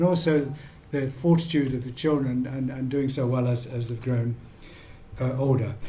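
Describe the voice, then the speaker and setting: A somewhat breathy voice with a British accent, a dark, mellow tone, fairly even intonation and audible room echo. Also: man. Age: 70s. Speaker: ophthalmologist and charity patron. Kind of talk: conference talk. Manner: halting.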